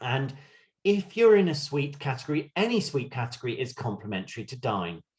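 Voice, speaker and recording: At a fairly quick pace, a somewhat breathy man with a medium pitch speaks in very wide pitch swings. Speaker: cruise line sales representative. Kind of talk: virtual sales presentation. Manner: fast.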